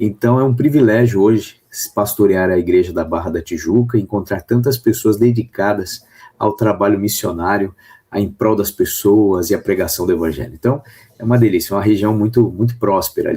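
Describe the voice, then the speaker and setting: A man with a São Paulo accent speaks at a moderate pace in a fairly low, somewhat breathy voice with a dark, mellow tone and ordinary pitch variation. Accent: São Paulo (paulista). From Brazil, São Paulo. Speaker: pastor. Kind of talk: radio interview.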